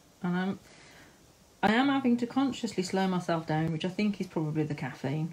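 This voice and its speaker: The voice is somewhat breathy with a dark, mellow tone. It moves at a moderate pace. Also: woman. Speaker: live-stream art tutor. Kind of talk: tutorial. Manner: chatty, giggly. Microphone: phone near.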